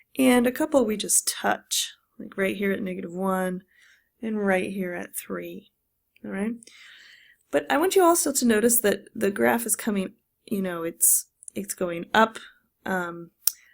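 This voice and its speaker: With lively intonation and a medium pitch, a woman talks at a fairly slow pace, leaving long, frequent pauses, in a very clean recording with a silent background. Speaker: math teacher. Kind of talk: lecture.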